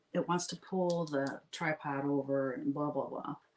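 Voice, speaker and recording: Speaking with an American accent, a woman keeps a moderate pace. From US South. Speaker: painting livestreamer. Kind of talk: casual livestream chat while painting.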